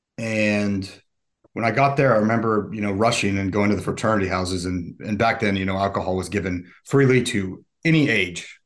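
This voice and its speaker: In an ordinary speaking voice, a man with an American accent talks at a fairly quick pace, his pitch fairly low with ordinary variation. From US South (Atlanta, Georgia) and Utah. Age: 40s. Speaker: recovering alcoholic. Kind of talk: interview testimony.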